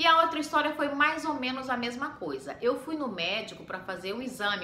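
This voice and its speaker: A high-pitched woman's voice with lively intonation at a moderate pace, with noticeable background noise and audible room echo. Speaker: homemaker and mom vlogger. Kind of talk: casual vlog storytelling.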